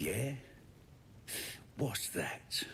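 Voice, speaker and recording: A man uses a put-on character voice at a medium pitch, with clear background noise behind him. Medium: video game. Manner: sneering, crude.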